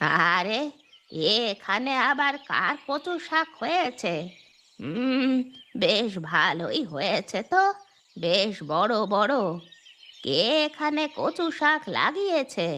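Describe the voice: A man puts on a cartoonish character voice at an extremely high pitch, with very wide pitch swings, very even loudness and a very slow pace.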